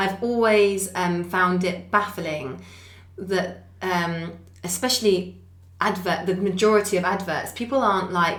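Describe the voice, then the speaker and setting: Against noticeable background noise and audible room echo, a woman with a southern English accent speaks fairly slowly at medium pitch with fairly even intonation. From Essex, England. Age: 30s. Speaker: charity founder, former nurse. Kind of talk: podcast interview.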